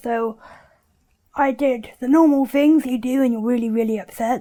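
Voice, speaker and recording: A woman with a West Country accent speaks at a high pitch with ordinary pitch variation. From southwest England, Bristol area. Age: 20s. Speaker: documentary subject. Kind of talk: personal testimony.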